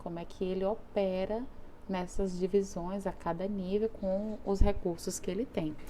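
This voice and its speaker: In a room with audible echo, a woman speaks at a fairly slow pace, medium in pitch, with a dark, mellow tone. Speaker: teacher. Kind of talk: lecture.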